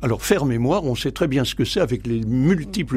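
Somewhat breathy, a man speaks at medium pitch. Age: 80s+. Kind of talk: radio interview. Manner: halting, many repetitions and hesitations.

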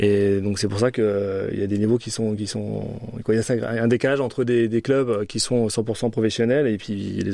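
Here a man has an unremarkable speaking voice. His pitch is fairly low and his intonation fairly even. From France, Orléans. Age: 40s. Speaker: rugby club director. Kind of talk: radio interview. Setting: studio.

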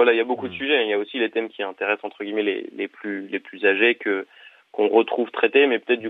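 This man speaks at a very fast pace. His voice sits at a medium pitch. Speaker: journalism student, founder of student media. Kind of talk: interview. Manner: halting, many hesitations.

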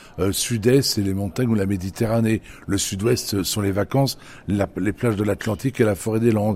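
The man's voice has a dark, mellow tone and a fairly low pitch. He moves at a moderate pace with ordinary pitch variation. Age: 60s. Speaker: head gardener and radio columnist. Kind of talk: radio interview.

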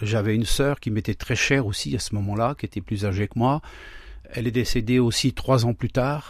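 On a very clean recording with a silent background, a man speaks at a moderate pace and medium pitch, somewhat breathy, with ordinary pitch variation. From France, Laon (Aisne), Traveller community. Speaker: pastor. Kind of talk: testimony. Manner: halting.

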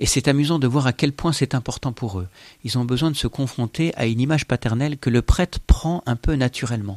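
A man of medium pitch speaks at a fairly quick pace with ordinary pitch variation, recorded very cleanly against a silent background with a dry, close sound and no echo. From France, Versailles. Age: 40s. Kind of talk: testimony. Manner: hesitant, frequent filler sounds.

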